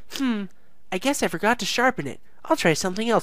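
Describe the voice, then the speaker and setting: A put-on character voice rattles along at a very fast pace with a fairly high pitch. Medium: read story. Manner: bright, bubbly, matter-of-fact.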